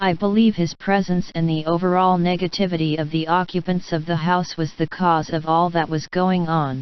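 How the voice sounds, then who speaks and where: A put-on character voice sits at a middle pitch. It runs on with hardly any pauses. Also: moderate pace. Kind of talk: spooky storytelling. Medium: read story. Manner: measured, somber.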